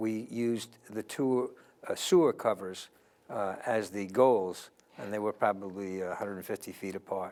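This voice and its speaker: With a New York accent, a man speaks at a moderate pace in a fairly low pitch and with fairly even intonation. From US Northeast, New York City (the Bronx). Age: 70s. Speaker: interview guest. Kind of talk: interview.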